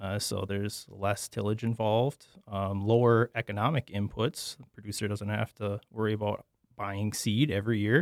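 This man has a normal speaking voice, fairly low in pitch, with an American accent, a moderate pace and fairly even intonation, though his loudness swings widely. The recording is very clean, with a silent background and a dry, close sound with no echo. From eastern Wisconsin. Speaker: agronomy professor. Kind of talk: interview.

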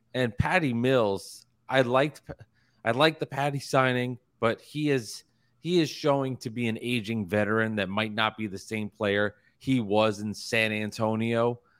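A man with an unremarkable speaking voice and ordinary pitch variation. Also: medium pitch for a man, moderate pace. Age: 30s. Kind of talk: casual chat.

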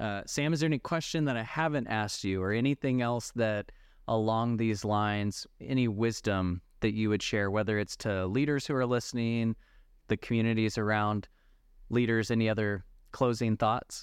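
In a normal speaking voice, a man talks at a moderate pace with very even loudness and ordinary pitch variation against a quiet background. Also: medium pitch for a man. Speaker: podcast host. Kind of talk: interview.

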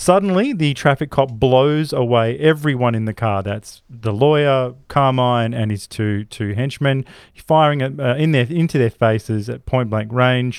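An Australian accent comes from a man at a medium pitch. He holds a moderate pace with hardly any pauses. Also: ordinary pitch variation. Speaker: podcast host. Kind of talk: casual chat.

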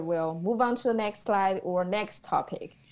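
Over a very clean recording with a silent background, a woman speaks at a medium pitch and a moderate pace. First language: Chinese. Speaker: student and preschool Chinese teacher. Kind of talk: casual academic discussion.

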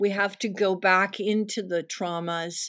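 A woman with a plain, everyday voice at a medium pitch, on a very clean recording with a silent background. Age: 60s. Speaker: activist and art therapist. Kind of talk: interview.

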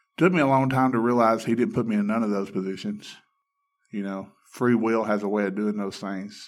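The speaker has an Alabama accent. The recording is very clean, with a silent background. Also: man, medium pitch for a man, ordinary pitch variation, fairly quick pace. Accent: Southern US (Alabama). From Alabama, US South. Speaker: addiction recovery ministry staff. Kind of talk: testimony. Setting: studio.

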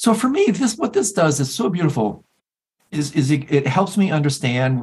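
The man's somewhat breathy voice swings very widely in pitch. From US Midwest. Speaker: podcast host. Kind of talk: casual chat.

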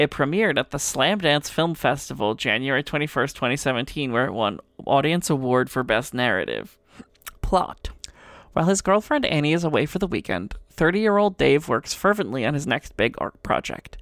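A woman talks at a fairly quick pace with a very deep, low pitch and vocal fry. Her pitch swings very widely. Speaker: podcast co-host and game designer. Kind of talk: casual chat.

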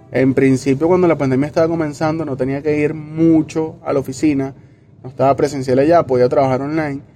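Over music in the background, a man with a fairly high pitch talks at a fairly quick pace in a monotone, flat intonation. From Venezuela, Caracas. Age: 20s. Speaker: bank employee and student. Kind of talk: interview testimony.

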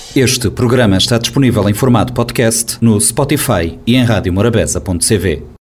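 Over noticeable background noise, a woman with a very deep, low voice speaks with ordinary pitch variation and hardly any pauses. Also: moderate pace. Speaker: radio host and journalist. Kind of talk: radio interview, show introduction. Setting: radio studio. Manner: formal.

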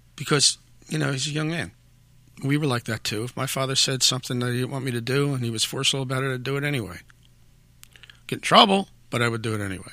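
A man with a Philadelphia accent talks very fast in a bright, sharp tone. Long pauses come often. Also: medium pitch for a man, ordinary pitch variation. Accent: Philadelphia American. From South Philadelphia, US. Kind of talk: interview. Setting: studio.

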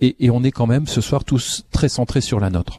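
In a very clean recording with a silent background and a dry, close sound with no echo, a man speaks at a moderate pace with a medium pitch, ordinary pitch variation, a somewhat breathy quality and a dark, mellow tone. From France. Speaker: cultural institute director. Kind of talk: audience comments in panel. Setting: live broadcast from a community centre with audience.

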